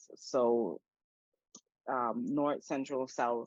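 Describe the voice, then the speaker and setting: A woman with a Spanish accent speaks at a very deep, low pitch with ordinary pitch variation. The sound is dry and close with no echo, over a quiet background. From Panama. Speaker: activist and coach. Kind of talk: interview conversation.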